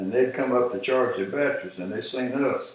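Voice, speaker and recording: A man's voice comes through with audible echo from the room. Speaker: war veteran. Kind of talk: casual chat. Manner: halting.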